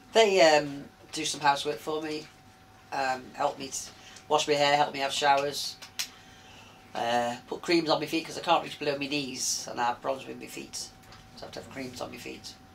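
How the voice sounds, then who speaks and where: The speech has long, frequent pauses and ordinary pitch variation. Background noise is noticeable. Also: woman. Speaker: interviewee living with arthritis. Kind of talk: interview. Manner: fast.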